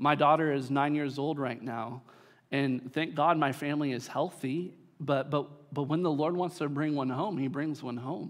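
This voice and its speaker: Using an ordinary speaking voice, a man speaks with fairly even intonation, a fairly high pitch, and a moderate pace. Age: 30s. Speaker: pastor. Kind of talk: sermon. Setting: church.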